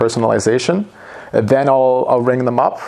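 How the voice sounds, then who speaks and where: Over noticeable background noise, a man with a Canadian accent speaks in fairly even intonation. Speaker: sales manager. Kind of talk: business interview.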